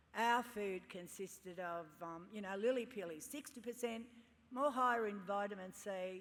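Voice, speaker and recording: Here a woman speaks at a moderate pace, medium in pitch with ordinary pitch variation. Audible room echo surrounds her voice. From Sydney, Australia (La Perouse). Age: 70s. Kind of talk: ceremonial speech. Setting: stage with audience at graduation ceremony.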